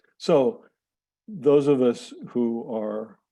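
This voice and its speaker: Intonation stays fairly even while a man talks in a medium pitch. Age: 60s. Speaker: physician and medical residency director. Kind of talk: panel discussion. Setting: video call. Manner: halting, with many fillers.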